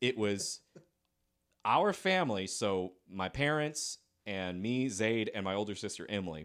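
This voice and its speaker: A man with an American accent has a plain, everyday voice at a medium pitch, with lively intonation, in a very clean recording with a silent background. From South Carolina. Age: 30s. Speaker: artist and former balloon twister. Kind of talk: casual chat.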